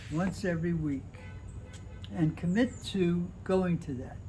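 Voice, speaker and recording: A man's voice with music in the background. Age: 80s+. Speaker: holistic health coach. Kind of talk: interview answer.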